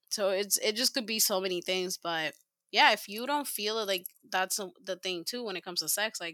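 A woman speaks at a medium pitch with a bright, sharp tone, her delivery animated and her pitch variation ordinary. The recording is very clean with a silent background and a dry, close sound free of echo. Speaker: podcast co-host. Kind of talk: casual chat. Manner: animated, laughs a lot.

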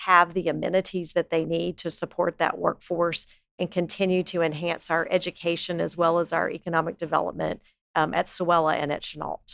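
A woman with an American accent speaks at a fairly low pitch and a moderate pace, with vocal fry. Her intonation is monotone and flat, and the sound is dry and close with no echo. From US South, Lake Charles, Louisiana. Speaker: community foundation president. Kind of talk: interview.

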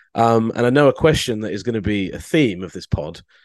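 A man with a plain, everyday voice at a fairly quick pace, ordinary pitch variation, and a dry, close sound with no echo over a quiet background. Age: 30s. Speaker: sports journalist. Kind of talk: casual chat.

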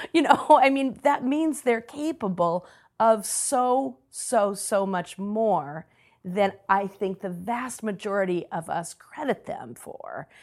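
The speech is very slow with very wide pitch swings. The recording is very clean with a silent background. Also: woman, fairly high pitch for a woman. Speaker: author and education consultant. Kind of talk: interview conversation.

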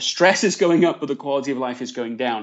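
A man speaks with an English accent. His pitch is medium, with ordinary variation. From northern England (Leeds). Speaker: author. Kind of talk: interview. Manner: hesitant with fillers.

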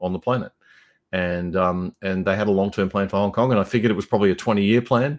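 Against a quiet background, a man talks with an Australian accent. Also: dry, close sound with no echo. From Brisbane, Australia. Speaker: radio journalist and podcaster. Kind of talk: casual interview.

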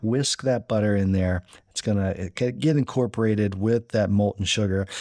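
On a very clean recording with a silent background, a man speaks at a moderate pace in a fairly low pitch. He has an ordinary speaking voice with fairly even intonation. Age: 30s. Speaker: cooking podcast host. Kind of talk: casual instructional monologue. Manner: casual with many fillers and repetitions.

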